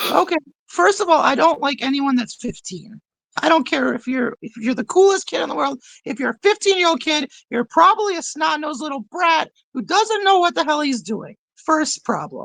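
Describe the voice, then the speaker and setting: A man with an American accent at an extremely high pitch, moderate pace, lively intonation and a bright, sharp tone, in a dry, close sound with no echo. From Rochester, New York. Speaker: wrestling manager. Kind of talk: podcast interview.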